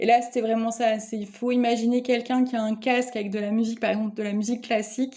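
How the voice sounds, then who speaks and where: Very fast, flat, monotone delivery from a woman with a fairly high pitch and hardly any pauses. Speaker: spiritual card reader. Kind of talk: energy guidance reading. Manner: hesitant, many fillers.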